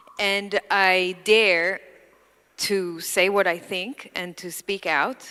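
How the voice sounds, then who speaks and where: The recording is very clean, the background silent. A woman with a medium pitch speaks in a bright, sharp tone with fairly even intonation. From Israel. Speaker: podcast host, panelist. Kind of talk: panel discussion.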